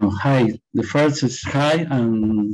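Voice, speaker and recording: In a Spanish accent, a man speaks with a dark, mellow tone and fairly even intonation over a quiet background. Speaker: winemaker. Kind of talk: panel discussion. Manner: halting.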